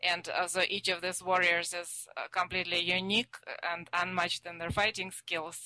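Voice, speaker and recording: A woman speaks with a Russian accent at a moderate pace, her fairly low voice bright and sharp in tone. Her intonation stays monotone and flat, and the sound is dry and close with no echo. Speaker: author. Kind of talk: interview answers.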